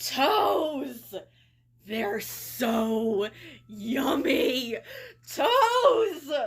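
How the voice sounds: In a put-on character voice, the speaker uses a high pitch and an intense, playful tone.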